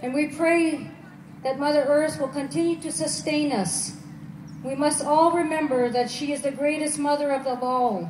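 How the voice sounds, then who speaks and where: A woman's high voice, solemn and warm in tone, with ordinary pitch variation at a moderate pace, audible room echo and light background noise. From Quebec, Algonquin community. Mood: solemn, reverent. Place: open country. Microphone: camera far.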